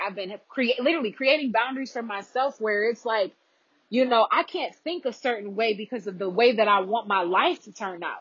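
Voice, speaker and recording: Here a woman speaks in a fairly high voice. She moves at a fairly quick pace. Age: 20s. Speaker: podcast host. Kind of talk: casual monologue. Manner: animated.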